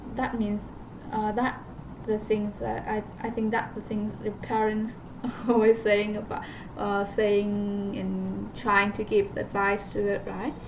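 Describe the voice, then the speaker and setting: A woman of medium pitch with a non-native accent, monotone and flat, at a very slow pace with long, frequent pauses over noticeable background noise. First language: not English. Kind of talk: casual talk to camera. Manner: hesitant, many fillers.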